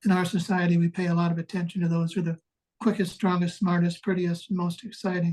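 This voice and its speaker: A man with an American accent speaks at a fairly quick pace in a high pitch. His tone is dark and mellow, and his intonation is monotone and flat. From US Midwest, west central Wisconsin. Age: 70s. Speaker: retired navy pilot and author. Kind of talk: interview storytelling.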